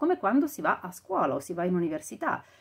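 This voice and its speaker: The background is quiet as a woman speaks. Her pace is fairly quick and her pitch medium. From Italy. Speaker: audiobook narrator and vocal coach. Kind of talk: casual talk to camera, podcast commentary. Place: home room. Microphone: lapel.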